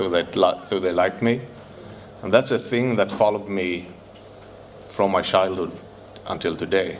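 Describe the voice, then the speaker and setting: A man with a Swedish accent talks at a fairly low pitch with ordinary pitch variation, and noticeable background noise can be heard. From Sweden, Stockholm. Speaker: recovering addict sharing at a convention. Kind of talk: recovery share speech. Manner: halting, with hesitations.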